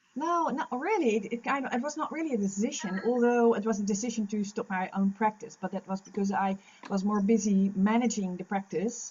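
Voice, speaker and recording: Speech at a fairly quick pace with ordinary pitch variation comes through noticeable background noise. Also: woman, fairly high pitch for a woman, hardly any pauses. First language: Dutch. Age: 50s. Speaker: lactation consultant. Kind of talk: interview. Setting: podcast recording. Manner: halting.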